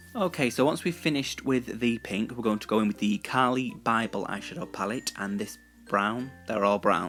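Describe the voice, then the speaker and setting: Music plays in the background. Over it, a man talks with ordinary pitch variation. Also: medium pitch for a man, moderate pace. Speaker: guest voiceover narrator. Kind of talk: casual humorous tutorial voiceover.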